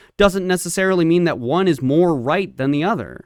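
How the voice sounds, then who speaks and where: In a very clean recording with a silent background, a man with a high pitch talks at a very fast pace. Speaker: debater. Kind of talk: heated debate. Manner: calm.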